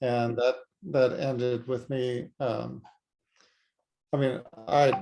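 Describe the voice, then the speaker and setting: A man with an American accent at a medium pitch, music in the background. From United States. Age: 60s. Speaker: retired ophthalmologist and author. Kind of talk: interview. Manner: halting.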